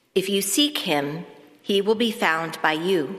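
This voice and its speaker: Speaking at a fairly slow pace with lively intonation, a woman of medium pitch has an unremarkable speaking voice. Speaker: church reader. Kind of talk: scripture reading.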